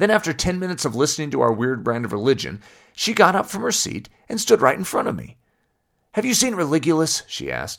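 On a very clean recording with a silent background, a man with an American accent talks very fast at a fairly high pitch, with very wide pitch swings and vocal fry. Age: 30s. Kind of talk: scripted narration.

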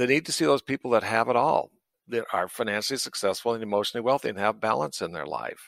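Talking very fast with an American accent and vocal fry, a man sounds dry and close with no echo. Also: medium pitch for a man, very clean recording, silent background. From US West, rural southern Idaho. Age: 60s. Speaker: veterinarian. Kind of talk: interview. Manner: animated.

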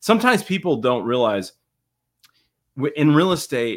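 A man speaks at a moderate pace with lively intonation. He has a plain, everyday voice. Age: 40s. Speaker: real estate investor, podcast host. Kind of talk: casual chat.

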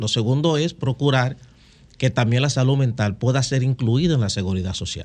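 In a normal speaking voice, a man talks at a moderate pace with ordinary pitch variation. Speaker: mental health advocate. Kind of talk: interview.

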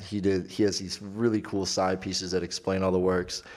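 In a very clean recording with a silent background, a man with a normal speaking voice talks at a moderate pace and a fairly low pitch. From Michigan, Clarkston near Detroit. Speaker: podcast host. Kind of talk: casual interview.

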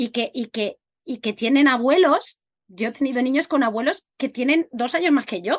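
The intonation rises and falls in a lively way. The sound is dry and close, with no echo. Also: woman, high pitch for a woman, moderate pace. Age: 40s. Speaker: podcast host. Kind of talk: casual interview chat.

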